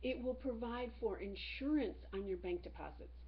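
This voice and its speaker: A woman speaks with audible room echo around her. Noticeable background noise runs under the recording. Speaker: teacher. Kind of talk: lecture.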